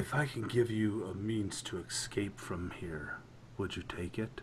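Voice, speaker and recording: A man whispers quietly in a put-on character voice. Background noise is clearly audible. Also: moderate pace. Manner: whispering quietly.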